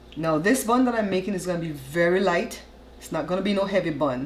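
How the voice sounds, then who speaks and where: A woman speaks at a medium pitch with ordinary pitch variation. Noticeable background noise is present. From Belize. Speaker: cooking show host. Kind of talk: cooking tutorial, casual talk to camera. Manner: chatty, friendly, conversational.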